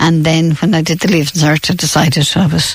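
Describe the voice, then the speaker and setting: This woman's voice is somewhat breathy and very deep and low in pitch. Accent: western Irish. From Ireland, County Roscommon. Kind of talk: radio interview, reminiscing. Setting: radio studio.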